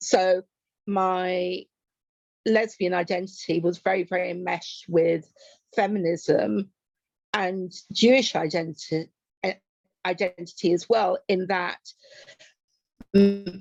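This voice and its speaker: A woman at a medium pitch speaks very slowly with fairly even intonation. She stops often for long pauses. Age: 60s. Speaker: activist and poet. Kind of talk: interview.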